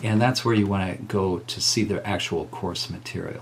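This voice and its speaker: A plain, everyday voice moves at a fairly slow pace. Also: man. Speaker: college music teacher. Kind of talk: tutorial.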